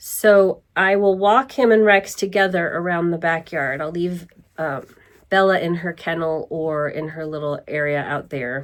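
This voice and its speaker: Here is a woman with a normal speaking voice and a fairly low pitch. She talks at a fairly slow pace with ordinary pitch variation. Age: 60s. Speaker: vlogger and dog owner. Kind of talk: casual vlog talk. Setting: at home.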